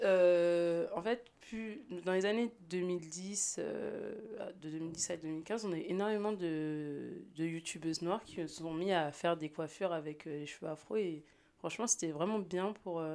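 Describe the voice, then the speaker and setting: Fairly low-pitched, dark, mellow woman's voice at a fairly slow pace. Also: ordinary pitch variation. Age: 20s. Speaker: podcast guest. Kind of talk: casual chat.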